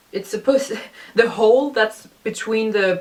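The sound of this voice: A woman's fairly even intonation in a room with audible echo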